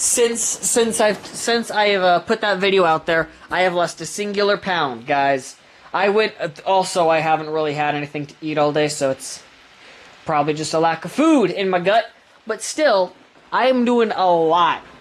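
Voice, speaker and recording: The pitch of this woman's voice swings very widely at a fairly slow pace. Noticeable background noise sits behind her. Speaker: reaction video creator. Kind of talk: casual reaction commentary. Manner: loud.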